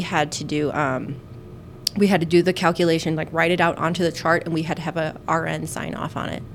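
Music plays in the background. A woman talks at a fairly quick pace with fairly even intonation. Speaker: nurse podcast host. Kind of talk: casual chat.

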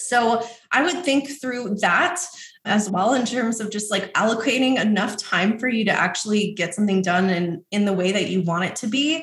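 Using an unremarkable speaking voice, a woman with an American accent speaks at a moderate pace, fairly high in pitch with lively intonation. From New York City. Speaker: course creation agency owner. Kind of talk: interview.

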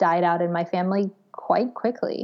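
Speaking very slowly, a woman uses a medium pitch. The background is quiet. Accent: American. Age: 30s. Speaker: curator and academic. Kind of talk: casual interview.

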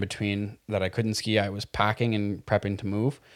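Speaking with a Montreal accent, a man has a fairly low pitch and a moderate pace. The recording is very clean, with a silent background. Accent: Montreal English Canadian. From Quebec, Montreal West Island. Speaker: podcast co-host, business operations manager. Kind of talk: casual chat. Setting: studio with video.

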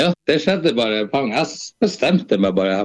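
Against a quiet background, a man speaks at a fairly slow pace. His pitch swings very widely. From Eastern Finnmark, northern Norway. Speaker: singer-songwriter. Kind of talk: casual interview.

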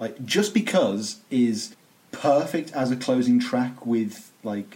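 This man has a dark, mellow tone and a British accent. His intonation is lively. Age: 20s. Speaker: podcast host. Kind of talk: casual chat. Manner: animated.

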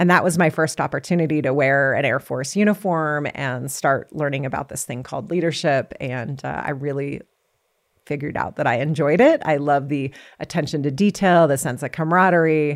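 Speaking at a fairly quick pace in an American accent, a woman with a very deep, low pitch shows ordinary pitch variation in a very clean recording with a silent background. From California. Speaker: retired fighter pilot. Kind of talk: interview.

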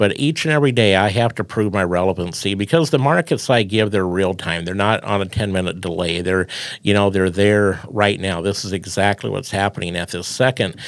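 Speaking with a Midwestern American accent, a man with a fairly low pitch moves at a fairly quick pace, using ordinary pitch variation and hardly any pauses. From Iowa, US Midwest. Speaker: farm radio broadcaster. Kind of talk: casual interview chat.

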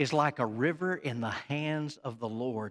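Captured in a very clean recording with a silent background, a man with a Southern US accent talks at a fairly slow pace in an animated tone. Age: 40s. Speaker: pastor. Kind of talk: sermon. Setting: church.

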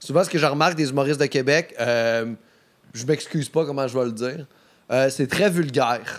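A man with a Quebec accent, fairly high in pitch, at a moderate pace with ordinary pitch variation. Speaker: comedian. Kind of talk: casual chat. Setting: studio.

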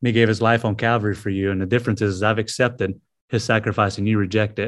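Very fast, flat monotone speech with a Southern US accent over a quiet background. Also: man. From US South, South Carolina (Greenville). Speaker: missionary, former prisoner. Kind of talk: testimony.

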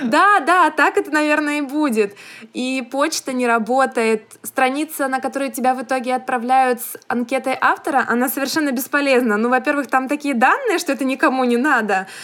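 A woman's high-pitched voice at a moderate pace, ordinary pitch variation, noticeable background noise. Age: young. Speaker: podcast co-host, young writer. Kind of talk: casual chat.

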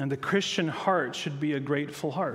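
Audible room echo surrounds a man speaking at a fairly high pitch and moderate pace with fairly even intonation. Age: 40s. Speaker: pastor. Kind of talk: sermon.

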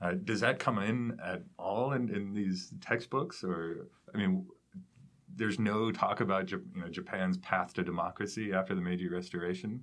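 This is a normal speaking voice from a man, fairly low in pitch, with ordinary pitch variation at a moderate pace. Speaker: podcast host. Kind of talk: interview.

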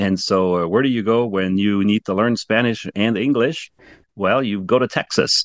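A man talks at a moderate pace with a French accent, his pitch fairly low and his intonation fairly even. The sound is dry and close with no echo, over a quiet background. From France. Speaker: ministry founder and president. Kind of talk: casual interview chat.

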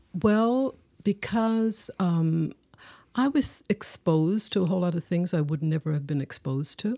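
A woman with a Newfoundland accent has a dark, mellow tone, fairly low pitch, and lively intonation. The recording is very clean, silent in the background, and dry and close with no echo. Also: moderate pace. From Newfoundland, Placentia. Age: 60s. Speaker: poet. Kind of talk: casual chat.

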